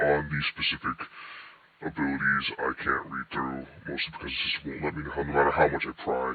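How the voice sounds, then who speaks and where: A man performs in a put-on character voice. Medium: machinima. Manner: formal, wary.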